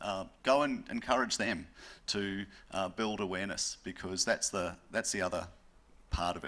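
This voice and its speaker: Speaking with a New Zealand accent, a man has a bright, sharp tone and fairly even intonation at a moderate pace. The recording is very clean, with a silent background. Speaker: panelist. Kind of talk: panel discussion.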